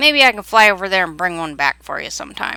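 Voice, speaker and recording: Using a put-on character voice, a woman talks at a very fast pace in a medium pitch. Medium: read story. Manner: loud, drowsy.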